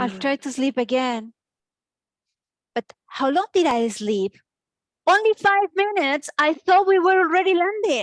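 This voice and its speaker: A woman with a Spanish accent speaks at a fairly slow pace in a high voice with very wide pitch swings, leaving long, frequent pauses, in a dry, close recording with no echo. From Colombia. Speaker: comedy student. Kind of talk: stand-up.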